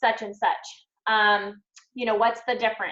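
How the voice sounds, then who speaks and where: The woman's voice sits fairly high. It has a bright, sharp tone. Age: 40s. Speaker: direct sales team leader. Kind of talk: live team training. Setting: video call. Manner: fast; animated.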